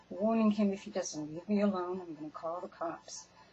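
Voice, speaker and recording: A woman's medium-pitched voice amid noticeable background noise. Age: 60s. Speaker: storyteller sharing personal experience. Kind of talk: personal testimony. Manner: casual, halting.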